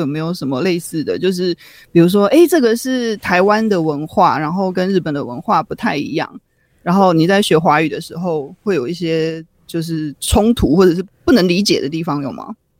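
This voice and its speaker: Speech comes at a fairly quick clip. The background is silent on this very clean recording. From Taiwan. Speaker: podcast co-host. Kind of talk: casual chat.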